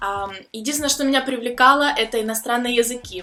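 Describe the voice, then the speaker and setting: A woman talks at a very fast pace in a fairly high pitch, with music playing in the background. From Ukraine. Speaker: vlogger, student abroad. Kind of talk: personal vlog story. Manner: casual with filler sounds.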